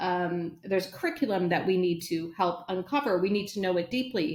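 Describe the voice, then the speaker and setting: In an unremarkable speaking voice, a woman talks at a medium pitch with lively intonation. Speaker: educator, former principal. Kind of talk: interview conversation.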